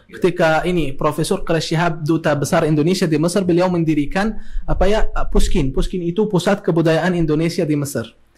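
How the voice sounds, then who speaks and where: This man has an Arabic accent and a high pitch. He talks at a fairly quick pace with ordinary pitch variation. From Egypt. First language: Arabic (speaking Indonesian). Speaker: academic and Islamic teacher. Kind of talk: podcast interview. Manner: halting with many fillers.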